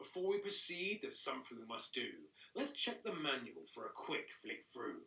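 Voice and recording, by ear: A man speaks in a put-on character voice at a moderate pace. The voice is gruff and high-pitched for a man.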